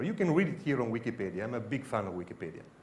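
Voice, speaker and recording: A man with an Italian accent talks at a very fast pace, his voice showing vocal fry and very wide pitch swings, with audible room echo around him. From Italy. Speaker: security researcher. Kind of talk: conference talk. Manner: halting.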